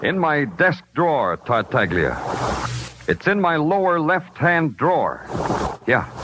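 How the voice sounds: Speaking slowly, a man puts on a character voice. It sits fairly high in pitch and makes big pitch swings. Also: fairly bright tone.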